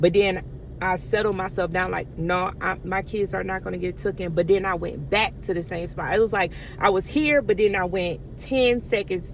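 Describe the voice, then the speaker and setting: The voice moves at a moderate pace with an animated tone. Pitch varies in an ordinary way over noticeable background noise. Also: woman, medium pitch for a woman. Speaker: vlogger, stay-at-home mom. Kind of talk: casual storytelling to camera. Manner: halting at times, speech difficulty from medication.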